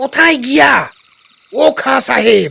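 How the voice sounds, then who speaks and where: A man performs a put-on character voice, raised and projected. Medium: audio drama.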